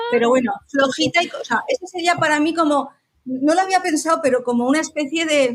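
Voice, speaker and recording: Talking at a fairly quick pace, a woman with a high pitch and ordinary pitch variation keeps her loudness very even. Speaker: astrologer. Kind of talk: interview conversation.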